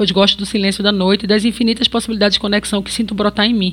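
A woman with a medium pitch speaks at a very fast pace. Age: 40s. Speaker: journalist and podcast host. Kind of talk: scripted narration.

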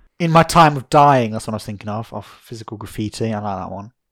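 A man with a fairly low voice and an English accent talks at a very fast pace with lively intonation. The recording is very clean, with a silent background. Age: young. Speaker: podcast host. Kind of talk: casual chat. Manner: animated.

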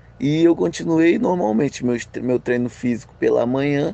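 His intonation is lively and his pitch is medium. The man speaks at a fairly slow pace. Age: 20s. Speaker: paralympic judo athlete and university student. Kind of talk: interview. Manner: halting.

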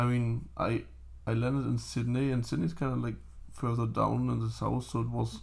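A man with a German accent at a moderate pace, his loudness very even. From Germany. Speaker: podcast guest. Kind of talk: casual chat.

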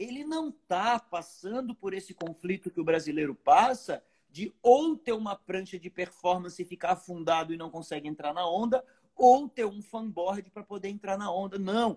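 A man speaks at a moderate pace in a high voice with lively intonation and big swings in loudness. The sound is dry and close, with no echo. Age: 40s. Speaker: professional surfer and surfboard maker. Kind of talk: live stream chat. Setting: live stream.

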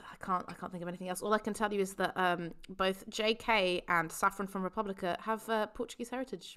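Heard in a very clean recording with a silent background, a woman with an English accent speaks at a medium pitch and fairly quick pace, with a bright, sharp tone, fairly even intonation and hardly any pauses. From England. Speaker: podcast host. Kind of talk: casual chat.

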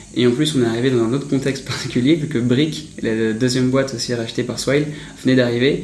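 The speaker moves at a fairly quick pace with fairly even intonation, while noticeable background noise and audible room echo fill the recording. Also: man. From Paris. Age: 20s. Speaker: startup founder. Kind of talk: interview.

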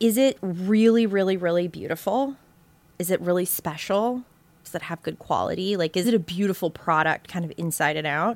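In a very clean recording with a silent background, a woman with an American accent speaks in an animated tone at medium pitch and a moderate pace, with ordinary pitch variation. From US South (Savannah, Georgia and South Florida). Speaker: beauty brand co-founder. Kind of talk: interview.

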